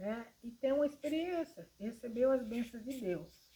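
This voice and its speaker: Speaking at a very slow pace, a woman has a fairly high pitch and a dark, mellow tone. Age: 60s. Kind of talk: informal religious talk to camera. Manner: hesitant, with fillers.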